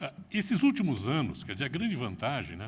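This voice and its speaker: A man with vocal fry and very wide pitch swings, in audible room echo. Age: 60s. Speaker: retired business executive. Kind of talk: conference talk.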